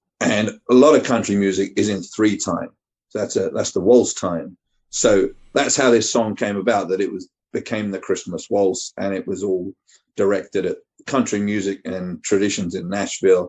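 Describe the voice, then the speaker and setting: A man speaks at a moderate pace. He has a slight East Anglian accent. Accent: generic English, slight East Anglian. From East Anglia, England. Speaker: singer-songwriter. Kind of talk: radio interview.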